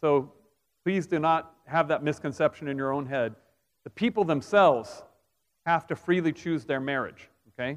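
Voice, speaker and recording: There are long, frequent pauses as a man with an American accent talks at a moderate pace. His voice is fairly high, with ordinary pitch variation. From Southern California. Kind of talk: conference lecture. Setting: stage with audience.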